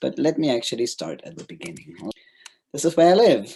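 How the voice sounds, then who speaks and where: A man with a German accent and a dark, mellow tone speaks at a fairly quick pace. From Germany. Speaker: governance consultant. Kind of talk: presentation.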